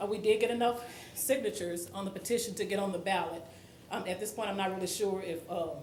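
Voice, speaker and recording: Amid noticeable background noise and audible room echo, a woman talks at a very fast pace with a medium pitch and fairly even intonation. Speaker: resident speaking at public comment. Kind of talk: public comment at council meeting. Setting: council meeting. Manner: shaky voice.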